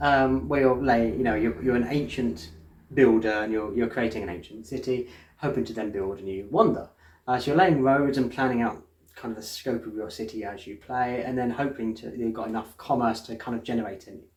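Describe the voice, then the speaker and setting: Talking at a fairly quick pace, a man with an English accent shows ordinary pitch variation. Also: medium pitch for a man. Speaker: board game reviewer. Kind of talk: casual chat. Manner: fast; halting.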